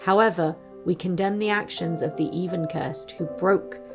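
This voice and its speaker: A woman's fairly low-pitched voice with music in the background. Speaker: streamer, VTuber. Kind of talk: fantasy story narration.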